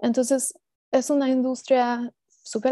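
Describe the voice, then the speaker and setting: Speaking at a fairly slow pace, a woman has a high pitch and a dark, mellow tone, heard as dry sound with no echo against a quiet background. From Mexico (Estado de México), moved to US at 15. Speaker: cooperative development specialist; presenter. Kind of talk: online seminar presentation. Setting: video call. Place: home room. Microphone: earbuds.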